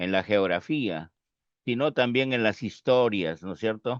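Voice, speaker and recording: In a dry, close sound with no echo and a quiet background, a man speaks at medium pitch with ordinary pitch variation. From northern Peru. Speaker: sociologist. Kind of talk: casual interview conversation. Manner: hesitant, many fillers.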